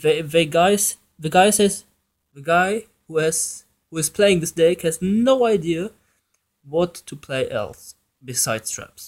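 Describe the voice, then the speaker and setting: Very slow and marked by long, frequent pauses, a man's high-pitched voice has ordinary pitch variation and big swings in loudness. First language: German. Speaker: gaming YouTuber. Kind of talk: casual commentary. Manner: halting, with restarts.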